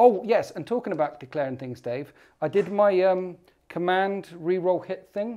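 With a British accent and a quiet background, a man speaks at a moderate pace in a high voice with a dark, mellow tone, lively intonation and big swings in loudness. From UK. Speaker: tabletop wargaming YouTuber. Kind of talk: casual banter during a tabletop game. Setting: studio. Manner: animated. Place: studio.

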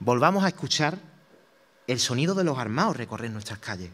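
A man is speaking. His tone is solemn. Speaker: Holy Week proclaimer, brotherhood member; speaker. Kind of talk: formal declaimed speech. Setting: theatre stage with audience. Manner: solemn, rhetorical, emotive, with rhythmic verse cadence; exhortative, impassioned and devotional, building to a fervent cry at the close. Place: stage. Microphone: podium.

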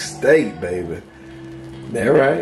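Faint music sits in the background. Over it, a man is talking. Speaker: cooking YouTuber. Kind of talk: casual cooking vlog. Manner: animated.

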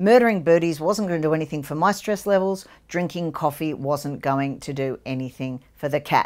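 At a moderate pace, a woman with a strong Australian accent speaks low in pitch, her tone slightly mellow and her pitch variation ordinary. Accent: broad Australian.

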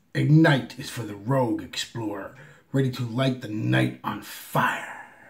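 Doing a put-on character voice, a man speaks at medium pitch. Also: moderate pace. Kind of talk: put-on announcer read of ad copy.

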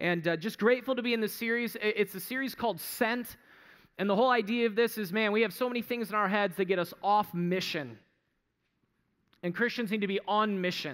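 Quiet background, a man's high voice with ordinary pitch variation at a fairly quick pace. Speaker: pastor. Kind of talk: sermon. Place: church. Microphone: headset.

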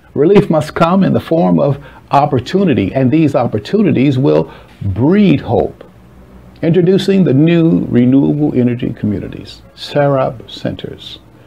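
A fairly high-pitched man with an American accent, at a moderate pace, with very wide pitch swings and music in the background. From US Midwest, Chicago. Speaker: advocate pitching a humanitarian housing project. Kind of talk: scripted narration. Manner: formal.

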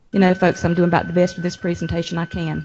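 Talking at a very fast pace, a woman speaks with vocal fry. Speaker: school district administrator presenting to school board. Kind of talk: board meeting presentation. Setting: school board work session in high school venue.

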